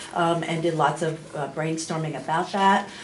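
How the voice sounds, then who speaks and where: Audible room echo and noticeable background noise come with a woman's voice. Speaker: school district curriculum administrator. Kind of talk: committee report at board meeting. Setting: public board meeting room. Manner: loud.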